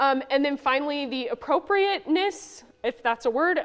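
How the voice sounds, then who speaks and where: Lively intonation marks the woman's speech. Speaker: ecologist presenting at a science symposium. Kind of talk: conference talk. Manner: fast; casual, many fillers.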